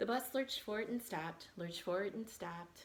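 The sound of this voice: A woman speaks at a moderate pace with medium pitch. Her pitch variation is ordinary.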